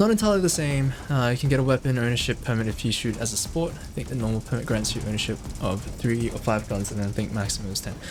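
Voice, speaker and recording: Over noticeable background noise and audible room echo, a man with an Australian accent talks at a very fast pace in a medium pitch, with hardly any pauses. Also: ordinary pitch variation. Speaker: video game streamer. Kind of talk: live gameplay commentary. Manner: casual, hesitant with fillers.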